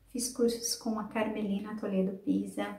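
A woman speaks with a fairly high pitch. There is audible room echo. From Brazil, São Paulo state (Sumaré). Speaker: storyteller and teacher. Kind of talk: interview; storytelling.

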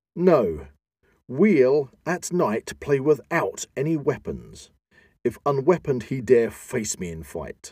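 Using a very slow pace, a man at medium pitch speaks with a dark, mellow tone, vocal fry, very wide pitch swings and big swings in loudness. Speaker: podcast host. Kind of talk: dramatic reading of an epic poem. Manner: dramatic, theatrical, declamatory.

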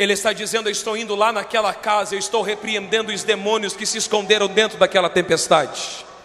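Amid noticeable background noise, a man with a high pitch speaks at a very fast pace. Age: 20s. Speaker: pastor. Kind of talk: sermon. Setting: church.

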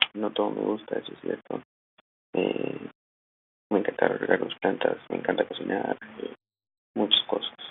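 A man speaks at a moderate pace, with long, frequent pauses and big swings in loudness. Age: 20s. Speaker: communication student and magazine writer. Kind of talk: self-introduction monologue. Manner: halting, many fillers.

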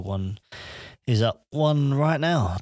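A man with an English accent talks on a very clean recording against a silent background. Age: 20s. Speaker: podcaster and vlogger. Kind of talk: casual solo monologue. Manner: rambling, informal.

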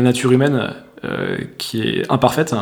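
A man speaks at a medium pitch. Noticeable background noise runs behind him. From France. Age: 30s. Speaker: entrepreneur and coach. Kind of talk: casual interview. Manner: halting, many fillers.

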